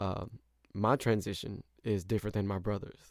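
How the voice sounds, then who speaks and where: A man speaks with an American accent, a fairly low pitch and vocal fry. His intonation is monotone and flat, in a very clean recording with a silent background. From US Midwest, St. Louis. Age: 20s. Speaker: podcast host. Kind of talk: solo monologue podcast. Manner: hesitant, frequent fillers.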